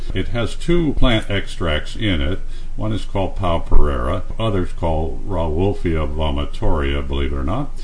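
Moderately paced, a man talks over noticeable background noise. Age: 70s. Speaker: radio host and health author. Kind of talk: radio interview. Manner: halting, with frequent uh fillers.

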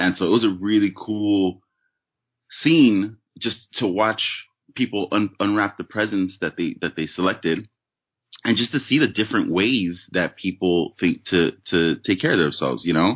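This man has a plain, everyday voice, fairly low in pitch, with ordinary pitch variation and a moderate pace. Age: 30s. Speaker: podcast guest. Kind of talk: casual chat.

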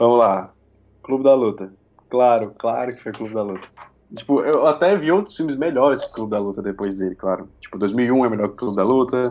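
This man has a plain, everyday voice at a medium pitch. He speaks at a fairly quick pace with lively intonation. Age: 20s. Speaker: youtuber and film critic. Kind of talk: casual chat.

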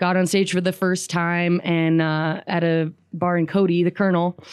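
In an American accent, a woman speaks with a fairly low pitch at a moderate pace. Her intonation is monotone and flat. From US West (Riverton, Wyoming). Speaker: singer-songwriter. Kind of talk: radio interview. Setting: studio. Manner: laughs often, hesitant with fillers.

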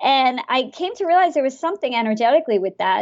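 Her voice sits high for a woman. The pitch moves up and down very widely. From India. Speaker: former finance executive and author. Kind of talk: interview.

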